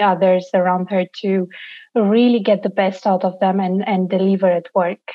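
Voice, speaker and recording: A woman's voice with a Romanian accent. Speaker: NGO founder. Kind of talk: interview.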